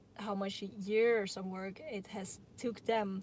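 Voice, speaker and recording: This woman has a Dutch accent. Her pitch sits at a medium level. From Netherlands. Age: 20s. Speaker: YouTuber. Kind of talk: live Q&A stream. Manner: halting.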